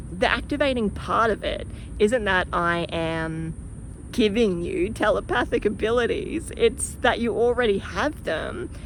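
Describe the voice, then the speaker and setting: A woman speaks with a strong Australian accent. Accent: broad Australian. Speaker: spiritual teacher and channeler. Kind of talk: casual vlog talk to camera. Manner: animated.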